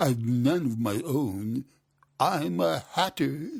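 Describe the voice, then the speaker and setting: A man uses a put-on character voice at medium pitch, with very wide pitch swings and a very slow pace. The recording is very clean, with a silent background. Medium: read story. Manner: nervous, hesitant.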